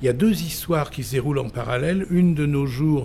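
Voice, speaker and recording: A man's voice, fairly high in pitch yet dark and mellow in tone, sounds somewhat breathy and has lively intonation. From Vézelay, Burgundy, France. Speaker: playwright and novelist. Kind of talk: interview. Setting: book fair.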